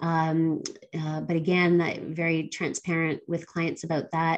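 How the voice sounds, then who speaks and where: In a quiet background, a woman talks at a moderate pace. Her pitch is fairly low. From Canada and Barbados. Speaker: philanthropy advisor. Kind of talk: interview.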